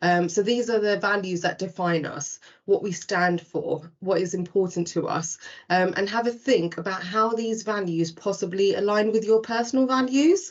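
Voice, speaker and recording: Speaking at a moderate pace with a British accent, a woman uses a medium pitch and ordinary pitch variation. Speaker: recruitment presenter. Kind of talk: webinar presentation. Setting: online webinar.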